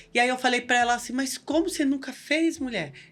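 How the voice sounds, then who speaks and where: A woman's high voice at a fairly quick pace, with ordinary pitch variation, in a very clean recording with a silent background. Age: 60s. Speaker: local political women's group leader, cancer survivor. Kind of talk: podcast interview, casual chat. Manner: animated.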